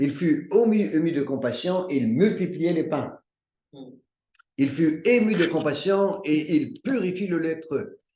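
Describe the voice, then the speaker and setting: A man with a high pitch and a dark, mellow tone speaks very slowly with lively intonation. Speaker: bible study teacher. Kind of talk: bible study teaching.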